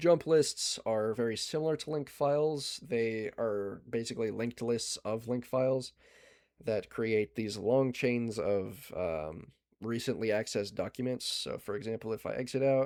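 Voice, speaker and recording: The voice belongs to a man at medium pitch. His pitch varies in an ordinary way. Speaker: digital forensics presenter. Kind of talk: lecture. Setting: video call. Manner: fast.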